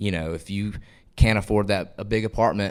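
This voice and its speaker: Fairly quick speech from a man with a Southern US accent, fairly low pitch and ordinary pitch variation, on a very clean recording with a silent background. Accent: Southern US (Georgia). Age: 20s. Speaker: country singer. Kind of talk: interview.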